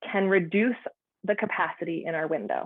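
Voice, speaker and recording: Her voice sits at a medium pitch. The woman's pitch rises and falls in an ordinary way. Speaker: outdoor educator and counsellor. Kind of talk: presentation.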